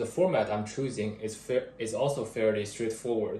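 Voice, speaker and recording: A man speaks in a somewhat breathy voice with fairly even intonation. There is audible room echo. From another country. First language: not English. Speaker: part-time engineering student. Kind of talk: class presentation. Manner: halting, with fillers and restarts.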